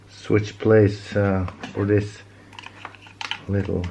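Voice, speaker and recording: Very slow speech in a Norwegian accent, amid noticeable background noise. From Norway. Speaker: DIY chainsaw repair youtuber. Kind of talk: tutorial. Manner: halting, many fillers and repeats.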